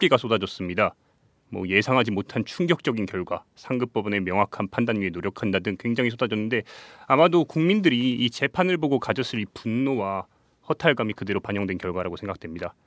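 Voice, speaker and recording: A man with a medium pitch talks at a fairly quick pace with lively intonation. The recording is very clean, with a silent background and a dry, close sound with no echo. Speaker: intern reporter. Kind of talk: news reading. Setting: studio.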